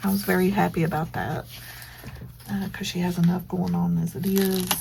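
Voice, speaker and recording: A woman speaks quietly at a moderate pace. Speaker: planner journaling vlogger. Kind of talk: casual crafting vlog with voiceover chat. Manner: quiet, subdued; hesitant, many fillers.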